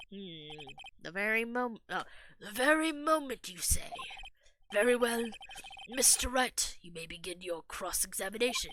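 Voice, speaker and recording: In a put-on character voice, a woman speaks at a moderate pace and fairly high pitch, with very wide pitch swings and long, frequent pauses. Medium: game stream. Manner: formal, hesitant.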